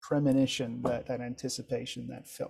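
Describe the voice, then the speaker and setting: A man with a French accent at a moderate pace. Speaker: Morse code instructor trainer. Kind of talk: training session discussion.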